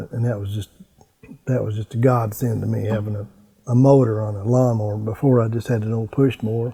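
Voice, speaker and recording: Speaking with a southern Illinois accent, a man at medium pitch talks at a fairly quick pace with fairly even intonation. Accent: Midland US, southern Illinois. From US Midwest, southern Illinois. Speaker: veteran adventure motorcycle rider. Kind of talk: interview storytelling. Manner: halting, with fillers and repeats.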